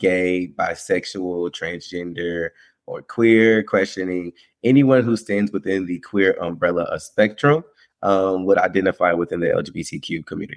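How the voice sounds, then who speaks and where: An unremarkable speaking voice from a man with an American accent, fairly low in pitch with ordinary pitch variation. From Winston-Salem, North Carolina. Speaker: rapper and LGBTQ advocate. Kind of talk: interview.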